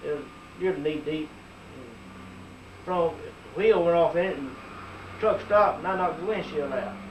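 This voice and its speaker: In an American accent, a man speaks at a fairly slow pace and a fairly high pitch with very wide pitch swings, amid noticeable background noise and audible room echo. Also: big swings in loudness. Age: 60s. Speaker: community member. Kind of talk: oral history interview.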